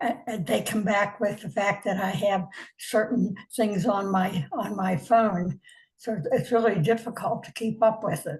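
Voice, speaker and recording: A woman's somewhat breathy voice at a fairly slow pace, with ordinary pitch variation and big swings in loudness. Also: medium pitch for a woman. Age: 90s. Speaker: tech support customer. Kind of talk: casual chat. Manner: halting, repetitive.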